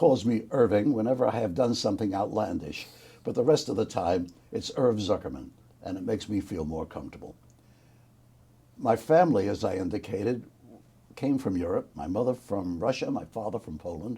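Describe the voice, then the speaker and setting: In a New York accent, this somewhat breathy voice with a dark, mellow tone moves at a moderate pace with lively intonation and long, frequent pauses. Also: man, medium pitch for a man. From New York City, the Bronx. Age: 80s+. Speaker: war veteran. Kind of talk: oral history interview.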